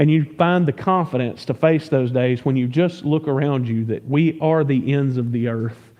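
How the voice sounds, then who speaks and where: Speaking with a Southern US accent, a man talks at a moderate pace with fairly high pitch and ordinary pitch variation. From US South. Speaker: pastor. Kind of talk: sermon. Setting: church. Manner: conversational, stumbling repeats.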